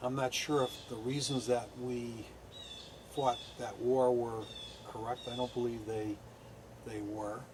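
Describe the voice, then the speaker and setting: Speaking at a fairly slow pace with long, frequent pauses, a man with a medium pitch keeps a monotone, flat intonation over noticeable background noise. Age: 60s. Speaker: war veteran. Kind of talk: interview. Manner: halting.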